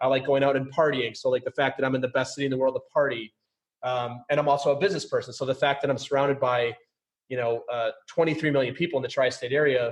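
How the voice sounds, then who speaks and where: A man with an American accent talks at a very fast pace in a fairly high pitch. His voice is somewhat breathy, with fairly even intonation. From US Midwest, suburbs of St. Paul, Minnesota. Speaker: podcast host. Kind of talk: casual interview chat. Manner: high energy.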